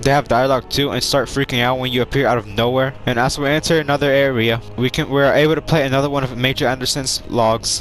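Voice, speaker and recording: Over music in the background, a man speaks at a very fast pace and medium pitch with very even loudness and hardly any pauses. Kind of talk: casual gaming commentary. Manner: enthusiastic.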